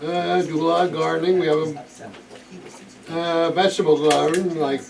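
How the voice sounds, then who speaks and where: A man's fairly high voice keeps fairly even intonation at a moderate pace while noticeable background noise runs behind him. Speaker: retired school employee. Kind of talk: casual self-introduction at a club meeting. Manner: halting, many uh fillers.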